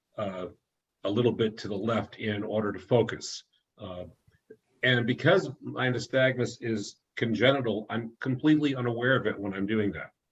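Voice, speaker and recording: Speaking at a moderate pace, a man's somewhat breathy voice shows big swings in loudness and ordinary pitch variation. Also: medium pitch for a man. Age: 60s. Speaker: author. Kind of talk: presentation. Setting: video call. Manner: halting.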